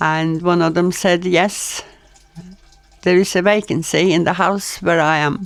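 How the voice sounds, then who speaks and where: In a Norwegian accent, a woman with a fairly low voice speaks at a fairly slow pace. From Norway. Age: 80s+. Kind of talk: storytelling, personal anecdotes.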